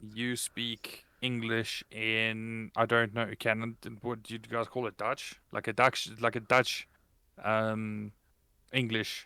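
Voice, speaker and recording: In a South African accent, the speaker talks very slowly in a bright, sharp tone with monotone, flat intonation, the sound dry and close with no echo on a very clean recording with a silent background. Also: man, medium pitch for a man. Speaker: podcast co-host and streamer. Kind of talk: casual chat.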